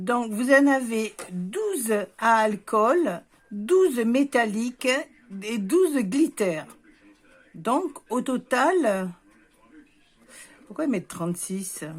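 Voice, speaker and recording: On a very clean recording with a silent background, a woman speaks at a very slow pace and a fairly high pitch, with very wide pitch swings and long, frequent pauses. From southern France, near Béziers, Hérault. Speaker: visual artist, scrapbooker. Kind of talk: casual craft tutorial talk to camera.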